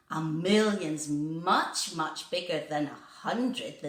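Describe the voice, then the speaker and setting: A woman puts on a character voice with a fairly low pitch. She speaks at a fairly slow pace, with a slight echo. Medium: read story.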